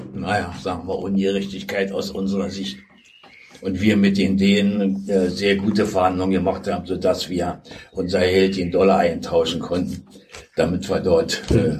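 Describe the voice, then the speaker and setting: Against noticeable background noise and audible room echo, a man with a very deep, low voice speaks at a moderate pace with fairly even intonation. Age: 80s+. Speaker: former football club official. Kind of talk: interview.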